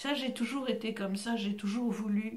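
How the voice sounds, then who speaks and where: Over noticeable background noise and audible room echo, a woman speaks very slowly at a medium pitch with ordinary pitch variation. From Belgium, Brussels. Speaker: actress and voice actor. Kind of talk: interview.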